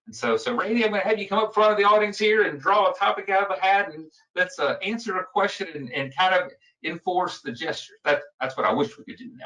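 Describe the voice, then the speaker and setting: A man in a Southern US accent speaks at a high pitch. His voice is raised and projected, at a fairly quick pace. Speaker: public speaking trainer. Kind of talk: lecture. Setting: recorded video presentation. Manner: fast.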